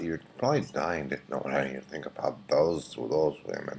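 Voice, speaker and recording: A man speaks quietly at a moderate pace, with a very deep, low pitch. Noticeable background noise runs behind him. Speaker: vlogger. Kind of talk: casual webcam rant. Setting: at home at night, webcam. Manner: quiet, hushed; halting, many fillers.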